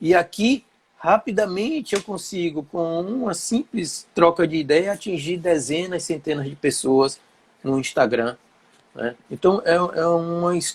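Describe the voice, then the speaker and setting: Delivered fairly slowly, the speech shows ordinary pitch variation. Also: man. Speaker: shrimp farming teacher. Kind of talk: live stream chat. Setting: live Instagram stream.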